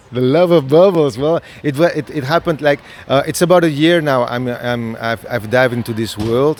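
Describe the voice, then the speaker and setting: Over noticeable background noise, a man speaks at a fairly high pitch, moving at a moderate pace with ordinary pitch variation. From Spain, Barcelona. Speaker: creative director and scenographer. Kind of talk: interview. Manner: halting, many fillers and restarts.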